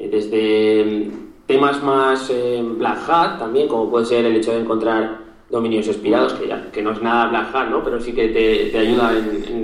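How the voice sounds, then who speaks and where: Amid noticeable background noise and audible room echo, a man with medium pitch talks at a moderate pace. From Spain, Zaragoza (Aragon). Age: 20s. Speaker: SEO specialist and podcaster. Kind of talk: interview. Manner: halting, frequent repetitions.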